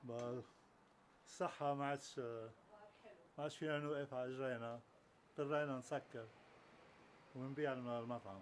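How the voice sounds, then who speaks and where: A man with a Lebanese accent speaks at a moderate pace, medium in pitch. His intonation is fairly even, broken by long, frequent pauses. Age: 70s. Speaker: retired restaurant owner, cook. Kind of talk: casual interview. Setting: home kitchen.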